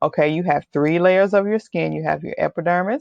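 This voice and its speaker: A woman talks with a slight Texas accent. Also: dry, close sound with no echo. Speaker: hair loss coach. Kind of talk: webinar presentation. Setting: webinar. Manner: casual, conversational.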